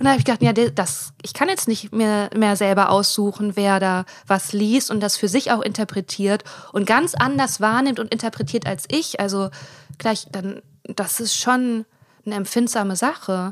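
Using a normal speaking voice, a woman talks at a moderate pace and medium pitch with lively intonation. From Germany, Ruhr area (Hiesfeld). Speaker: comedian and podcast co-host. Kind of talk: casual chat. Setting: recorded sitting in bed. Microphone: sharing one mic, sound quality poor in first episode.

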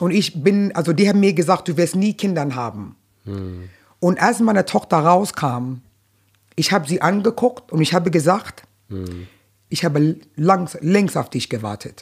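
At a moderate pace with long, frequent pauses, a woman uses a fairly low pitch, vocal fry and lively intonation, recorded very cleanly against a silent background. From New York, Brooklyn. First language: English (speaking German). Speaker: stand-up comedian. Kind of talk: casual interview.

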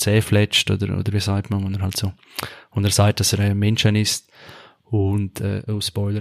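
In a monotone, flat intonation, a man at a fairly low pitch talks at a moderate pace. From Switzerland, Graubünden (Chur). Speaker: podcast host. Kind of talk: casual chat.

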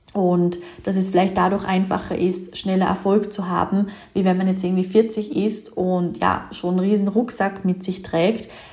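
A woman's medium-pitched, monotone, flat voice over noticeable background noise. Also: moderate pace. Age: 20s. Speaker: business coach and podcast host. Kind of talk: solo podcast monologue.

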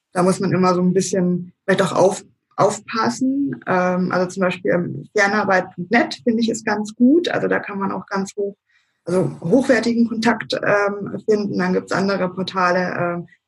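Somewhat breathy woman's voice of medium pitch, with ordinary pitch variation and a moderate pace. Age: 30s. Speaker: self-employed virtual assistant. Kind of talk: interview. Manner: hesitant, many filler sounds.

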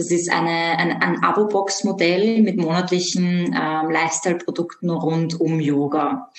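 A woman with fairly low pitch and ordinary pitch variation, at a fairly slow pace, amid audible room echo and noticeable background noise. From Austria, Vienna. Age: 20s. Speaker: yoga teacher and animal communicator. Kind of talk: interview.

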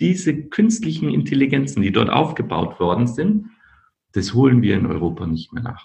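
Vocal fry runs through this man's medium-pitched voice. His pitch swings very widely. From Austria, Linz. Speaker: company founder. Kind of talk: podcast interview. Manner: halting, many repetitions.

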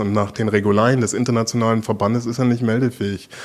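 Medium in pitch, a man's voice carries fairly even intonation. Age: 50s. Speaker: sports federation director. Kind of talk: interview. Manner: hesitant, with repetitions.

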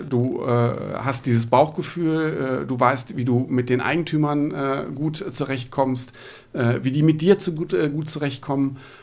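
At a medium pitch, the man delivers his words at a fairly slow pace. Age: 40s. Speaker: real estate agent. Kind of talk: interview. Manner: hesitant, many filler sounds.

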